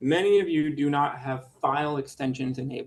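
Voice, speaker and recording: A man's fairly high-pitched voice. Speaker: engineering lecturer. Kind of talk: lecture. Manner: fast.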